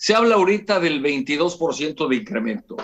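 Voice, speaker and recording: High-pitched male speech, its pitch swinging very widely. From Mexico, Veracruz. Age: 70s. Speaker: businessman and political commentator. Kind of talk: TV interview political analysis. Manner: halting, many repetitions and fillers. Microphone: unstable remote connection.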